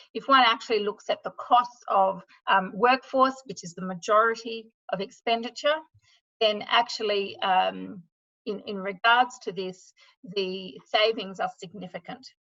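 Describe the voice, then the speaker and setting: A woman's fairly high, bright, sharp voice with an Australian accent, at a fairly slow pace, with ordinary pitch variation and big swings in loudness. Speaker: sustainability consultant. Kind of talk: webinar presentation.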